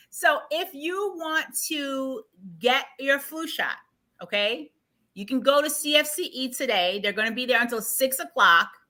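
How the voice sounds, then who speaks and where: A woman projects her raised voice at a high pitch, her tone animated. She moves at a fairly slow pace while her pitch swings very widely. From Jamaica. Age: 40s. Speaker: marketing executive and livestream host. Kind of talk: casual health livestream chat.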